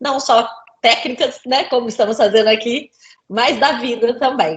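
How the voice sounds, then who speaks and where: Her delivery is fairly slow. This woman's high voice rises and falls in an ordinary way. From Brazil, Center-West (Cuiabá, Goiânia). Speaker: safety and environmental engineer, lecturer. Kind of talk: interview.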